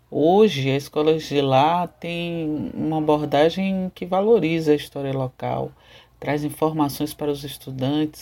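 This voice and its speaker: On a very clean recording with a silent background, a woman speaks at a fairly slow pace in a very deep, low voice with a dark, mellow tone. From Salvador, Bahia, Brazil. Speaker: professor and cyberactivist. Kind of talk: interview, prepared narrative answers.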